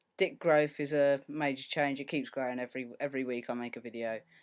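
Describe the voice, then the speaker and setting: A man with a British accent talks at a fairly high pitch. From UK. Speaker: video blogger. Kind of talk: casual video diary. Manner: hesitant, many filler ums.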